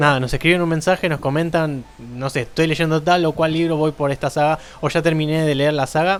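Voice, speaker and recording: Music plays in the background as a man talks with fairly high pitch and fairly even intonation. He keeps a fairly quick pace with hardly any pauses. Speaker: podcast host. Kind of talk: casual chat.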